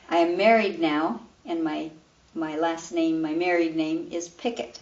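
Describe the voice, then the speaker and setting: Her pitch is fairly low, with ordinary variation. The woman speaks with an American accent. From Louisville, Colorado, US. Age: 60s. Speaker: retired PE teacher. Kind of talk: oral history interview. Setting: her home.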